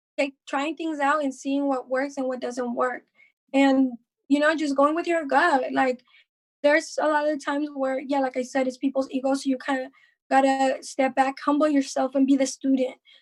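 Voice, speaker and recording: This woman has a high pitch and a slight Mexican accent, and her intonation is monotone and flat. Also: moderate pace. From Mexico. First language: Spanish. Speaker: rapper. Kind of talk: casual podcast interview.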